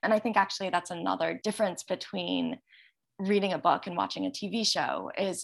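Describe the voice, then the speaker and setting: The background stays quiet. Speech moves at a fairly quick pace. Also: woman. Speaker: book and TV critic. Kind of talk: thoughtful interview discussion. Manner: reflective, articulate.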